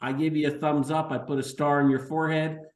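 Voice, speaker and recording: At a moderate pace, a man speaks fairly high in pitch with audible room echo. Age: 60s. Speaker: chiropractor and practice business coach. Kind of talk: webinar sales presentation. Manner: low-key, not very rah rah.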